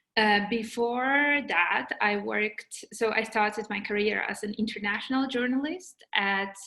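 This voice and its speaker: With a Polish accent, a woman speaks fairly slowly with hardly any pauses, her fairly high pitch showing ordinary variation. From Poland. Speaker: journalist. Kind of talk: webinar talk. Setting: video call. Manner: halting, with fillers and repetitions.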